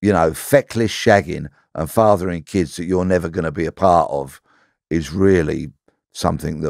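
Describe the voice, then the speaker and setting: Someone with an English accent speaks at a moderate pace with ordinary pitch variation. The sound is dry and close with no echo, on a very clean recording with a silent background. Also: man, very deep, low pitch for a man. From south-east London, Bexleyheath. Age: 60s. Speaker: ex-police detective. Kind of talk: interview conversation.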